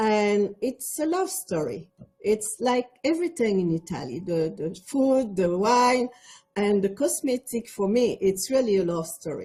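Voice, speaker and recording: With a Quebec accent, a woman speaks at a fairly high pitch in a somewhat breathy, dark, mellow tone, her pitch swinging very widely. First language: French. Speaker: cosmetics entrepreneur. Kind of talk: panel discussion.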